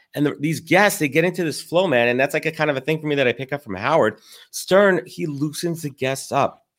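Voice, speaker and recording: An unremarkable speaking voice, this man's has a fairly high pitch, lively intonation and a fairly quick pace, with an American accent. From New York, Brooklyn. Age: 30s. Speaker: podcast host and recruiting firm founder. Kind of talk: casual interview chat.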